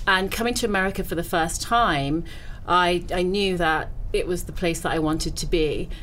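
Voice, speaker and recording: In a British accent, a woman speaks at a fairly low pitch, with audible room echo and noticeable background noise around her. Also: ordinary pitch variation, moderate pace. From Britain. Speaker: entrepreneur. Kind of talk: casual chat.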